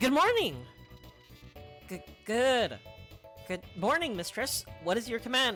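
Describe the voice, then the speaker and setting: Over clear music in the background, a woman puts on a robotic character voice with a fairly high pitch, speaking at a fairly slow pace. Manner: stiff, obedient.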